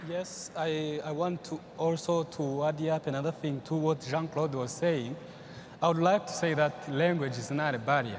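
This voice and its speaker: A man with a Rwandan accent speaks at a fairly high pitch with fairly even intonation. Noticeable background noise runs behind him. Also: moderate pace. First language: Kinyarwanda. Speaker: young entrepreneur panelist. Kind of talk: panel discussion. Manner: halting.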